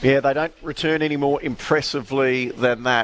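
A man speaks with an Australian accent at a fairly quick pace. His intonation is monotone and flat. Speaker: radio racing show host. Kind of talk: live radio chat. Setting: live outside broadcast from a training complex cafe.

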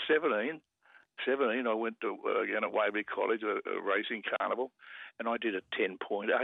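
A man with an Australian accent speaks at a moderate pace. He leaves long, frequent pauses. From Sydney, Australia. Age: 80s+. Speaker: former rugby player and sprinter. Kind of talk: radio interview.

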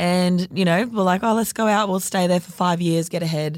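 A woman's fairly low voice with an Australian accent, fairly quick and fairly even in intonation, on a very clean recording with a silent background. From North Queensland, Australia. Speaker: fashion label co-founder. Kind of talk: casual chat.

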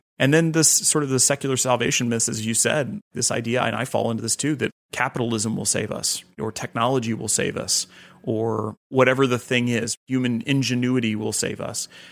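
At a fairly quick pace comes an unremarkable speaking voice. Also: man, medium pitch for a man. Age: 30s. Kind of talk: interview.

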